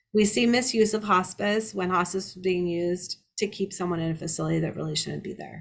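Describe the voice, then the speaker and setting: Somewhat breathy and at a medium pitch, a woman talks at a fairly quick pace with hardly any pauses, ordinary pitch variation and big swings in loudness. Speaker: elder abuse litigation lawyer. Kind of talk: lecture. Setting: seminar presentation. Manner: fast.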